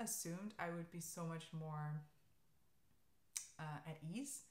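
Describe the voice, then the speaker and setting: Fairly low-pitched and fairly slow, a woman speaks with a German accent amid audible room echo. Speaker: knitting podcaster. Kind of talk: casual chat. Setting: alone in an empty room. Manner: hesitant, many fillers.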